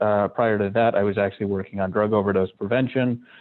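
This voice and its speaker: With an American accent, a man with a fairly low voice speaks at a moderate pace using fairly even intonation. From Michigan. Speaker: public health official. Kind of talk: panel discussion. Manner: halting, many fillers.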